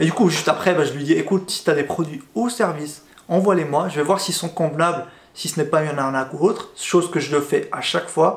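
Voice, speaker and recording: A man speaks at a fairly quick pace in a fairly high pitch. His pitch variation is ordinary. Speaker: YouTuber. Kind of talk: casual vlog storytelling. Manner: fast; hesitant, filler words and repetitions.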